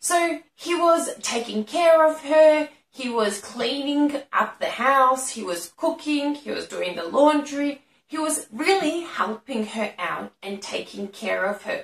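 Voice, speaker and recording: Audible room echo surrounds a woman speaking at a very slow pace. Her high pitch moves in very wide swings. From Australia. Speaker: English teacher. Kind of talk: educational lesson to camera. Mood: friendly, smiling.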